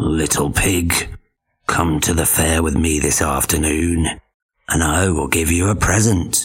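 A man puts on a raspy character voice, very deep and low, delivered at a fairly slow pace. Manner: fake friendly, sweetly deceitful.

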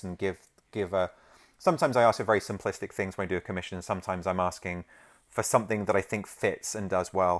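A man with a London accent speaks at a very fast pace in a fairly low pitch. The recording is very clean, with a silent background. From London, England. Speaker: original comic art rep. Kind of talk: casual chat.

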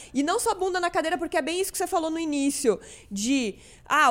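Her pitch high, a woman talks at a very fast pace. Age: 30s. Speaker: podcast host. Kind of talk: casual chat.

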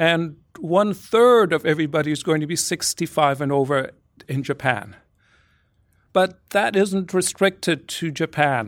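In a plain, everyday voice, a man talks at a moderate pace with a fairly high pitch and ordinary pitch variation, on a very clean recording with a silent background. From born in Brazil, immigrant to Canada. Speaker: public policy professor. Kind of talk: lecture; audience Q&A answers. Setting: lecture hall with audience.

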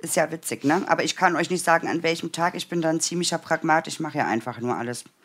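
With a slight Berlin accent, a woman talks at a very fast pace with hardly any pauses and fairly even intonation. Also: fairly low pitch for a woman. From Brandenburg, eastern Germany. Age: 40s. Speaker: sewing pattern designer. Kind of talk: casual chat; sewing tutorial. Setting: livestream.

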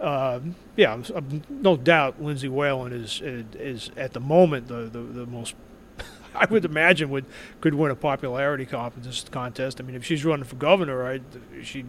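A man in a New York accent speaks at a moderate pace, his loudness swinging widely. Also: medium pitch for a man, ordinary pitch variation. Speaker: sports writer, author. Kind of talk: interview. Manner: halting, repeats words.

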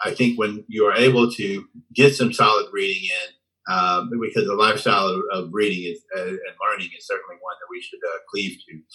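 With an American accent, a man speaks at a moderate pace, his loudness swinging widely. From Oklahoma. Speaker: retired navy master chief. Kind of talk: interview conversation.

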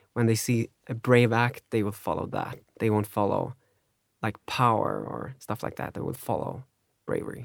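A man with a Swedish accent at medium pitch, flat and monotone, with long, frequent pauses and a dry, close sound free of echo. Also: moderate pace, very clean recording, silent background. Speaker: podcast host. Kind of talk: casual chat.

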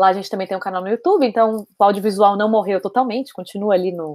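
Fairly quick delivery in a normal speaking voice, its pitch variation ordinary. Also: woman. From Brazil, São Paulo. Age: 20s. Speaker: doula. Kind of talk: casual interview. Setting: video call.

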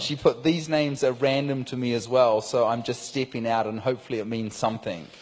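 A man speaks in a normal speaking voice at a medium pitch, with fairly even intonation. His pace is fairly quick, with hardly any pauses. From New Zealand. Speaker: preacher. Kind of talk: sermon with live translation.

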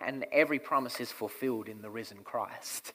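A man at medium pitch talks in a normal speaking voice. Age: 20s. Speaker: pastor. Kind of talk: sermon.

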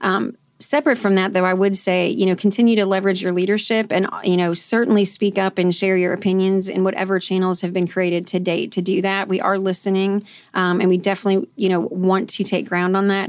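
A woman with an American accent talks at a fairly quick pace with hardly any pauses, a plain, everyday voice at medium pitch, fairly even intonation and very even loudness. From US Midwest, Canton, Ohio. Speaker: corporate executive. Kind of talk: interview.

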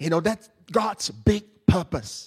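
The recording is very clean, with a silent background. A man speaks at a fairly slow pace in a high voice for a man. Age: 30s. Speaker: preacher. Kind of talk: sermon. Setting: church with congregation. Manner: hesitant, many fillers.

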